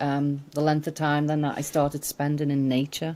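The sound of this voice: At a moderate pace, a woman talks in a low, dark, mellow voice with monotone, flat intonation.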